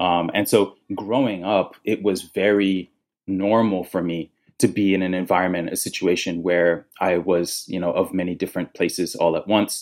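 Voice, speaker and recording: A man talks at a moderate pace in a very deep, low pitch. His intonation is flat and monotone. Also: very clean recording, silent background. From Nigeria. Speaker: design director and author. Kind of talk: interview answers.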